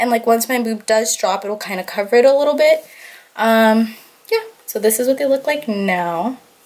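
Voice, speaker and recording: A woman with a fairly high pitch and ordinary pitch variation. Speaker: beauty and lifestyle vlogger. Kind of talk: casual vlog. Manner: fast; casual, lots of fillers.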